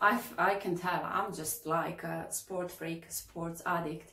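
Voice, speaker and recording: A woman talks at a very slow pace with a fairly low pitch. Audible room echo surrounds her voice. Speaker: fitness coach, kitesurf instructor. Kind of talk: casual vlog chat. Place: home room.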